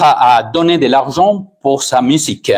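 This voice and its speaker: In a Spanish accent, a man speaks at a very slow pace with lively intonation. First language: Spanish (speaking French). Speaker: pastor. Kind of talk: sermon. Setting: church, streamed online. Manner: halting, with hesitations.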